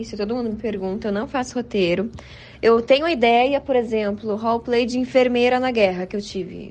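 An ordinary speaking voice from a woman, fairly high in pitch, with ordinary pitch variation at a moderate pace. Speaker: ASMR content creator. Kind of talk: interview.

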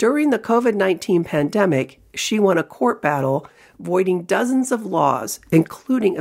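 A woman speaks at a moderate pace in a plain, everyday voice with lively intonation. The recording is very clean, with a silent background. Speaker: newspaper columnist and podcast host. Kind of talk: scripted intro and interview narration. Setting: studio.

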